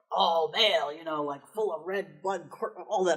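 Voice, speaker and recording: This gruff, put-on character voice sits at middle pitch and goes at a very slow pace. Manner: exaggerated, masculine.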